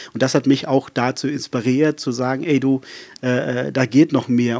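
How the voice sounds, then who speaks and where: Fairly even intonation carries speech delivered at a medium speed. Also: man. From South Africa, rural Western Cape. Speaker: pastor. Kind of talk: casual interview chat. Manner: fluent and flowing; many filler hesitations.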